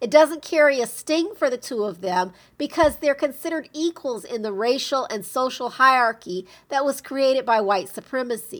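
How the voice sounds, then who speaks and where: A woman with an American accent and a high pitch, lively intonation and a moderate pace, on a very clean recording with a silent background. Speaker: podcast host and blogger. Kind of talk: reading blog post aloud.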